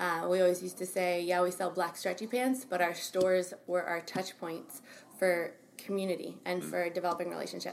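Fairly low in pitch, a woman speaks at a fairly quick pace with fairly even intonation. She has a plain, everyday voice. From Albany, New York, US. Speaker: soul coach. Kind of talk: interview.

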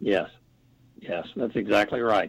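This man speaks with an American accent and ordinary pitch variation. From United States. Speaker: congressional journalist. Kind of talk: talk radio interview.

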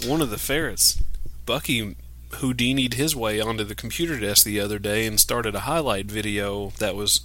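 A man speaks in a fairly low voice with vocal fry and a bright, sharp tone. His pitch varies in an ordinary way. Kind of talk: casual chat.

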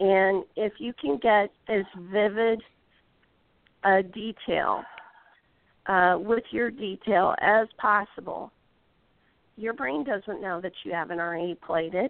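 A woman speaks at a very slow pace with long, frequent pauses and ordinary pitch variation. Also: medium pitch for a woman. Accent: Midwestern American. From US Midwest, Indiana. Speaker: golf instructor. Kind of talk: interview. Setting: phone call.

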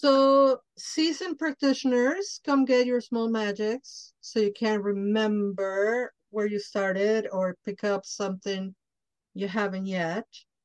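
A woman with a Spanish accent, very slow pace and fairly high pitch, in a dry, close sound with no echo. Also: ordinary pitch variation. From Mexico. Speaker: podcast host. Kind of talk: casual interview chat; show announcements.

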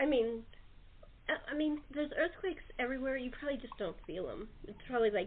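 With lively intonation and a fairly quick pace, a woman speaks at a high pitch.

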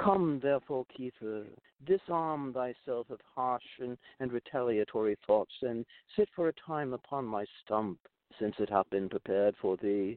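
A man's unremarkable speaking voice at medium pitch, with lively intonation and a fairly slow pace. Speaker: storyteller reading his own tale. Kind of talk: literary audiobook reading of an archaic fable. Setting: studio via remote connection.

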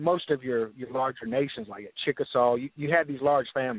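Speaking at a fairly quick pace, a man with a Southern US accent has fairly high pitch and ordinary pitch variation. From US South, North Florida. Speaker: author and historian. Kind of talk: interview.

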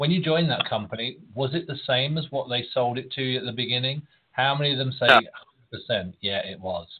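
Fairly quick speech in an English accent, with ordinary pitch variation. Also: man, fairly high pitch for a man. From England. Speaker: recruiter. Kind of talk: panel discussion.

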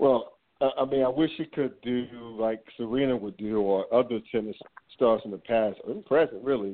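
This man has a plain, everyday voice, speaking at a moderate pace with ordinary pitch variation. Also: medium pitch for a man. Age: 40s. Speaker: sports podcast host. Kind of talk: casual sports talk.

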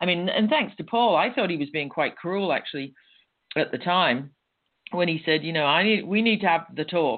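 In an English accent, a woman with a fairly low pitch speaks at a fairly quick pace with lively intonation. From England. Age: 60s. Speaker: step-sister of a famous musician. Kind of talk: interview.

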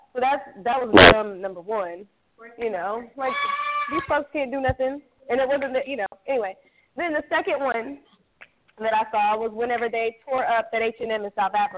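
A woman talks at a fairly high pitch with ordinary pitch variation. Her pace is moderate, broken by long, frequent pauses. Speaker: radio co-host. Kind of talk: casual chat.

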